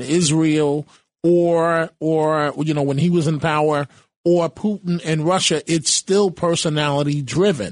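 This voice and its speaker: Against a quiet background, a man with an unremarkable speaking voice talks at a fairly slow pace, his pitch fairly high and his intonation fairly even. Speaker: radio talk show host and political journalist. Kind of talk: talk radio discussion.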